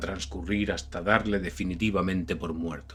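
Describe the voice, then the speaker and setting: A man with a Castilian accent speaks at a moderate pace with vocal fry. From Spain. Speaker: audiobook narrator. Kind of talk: horror audiobook narration.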